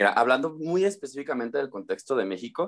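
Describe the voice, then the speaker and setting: The man's pitch swings very widely. He talks at a fairly quick pace. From Mexico, Uruapan, Michoacán. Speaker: English teacher. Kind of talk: interview.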